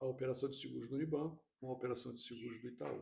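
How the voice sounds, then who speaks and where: The man's voice comes out somewhat breathy. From Rio de Janeiro, Brazil. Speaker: insurance executive. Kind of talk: podcast interview.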